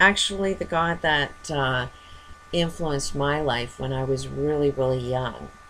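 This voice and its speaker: Against noticeable background noise, a woman with a very deep, low pitch speaks at a fairly slow pace with ordinary pitch variation. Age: 50s. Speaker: vlogger. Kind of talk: personal monologue. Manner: halting.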